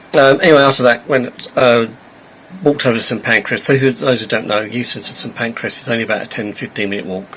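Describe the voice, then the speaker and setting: Over noticeable background noise, a man talks very fast with ordinary pitch variation. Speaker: train travel vlogger. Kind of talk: casual vlog narration. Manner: halting, many fillers.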